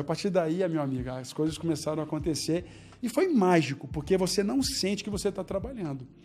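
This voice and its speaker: Pitch moves in an ordinary way. The speaker goes at a fairly quick pace. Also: man. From Brazil, Belo Horizonte. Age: 40s. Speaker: entrepreneur. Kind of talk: casual interview.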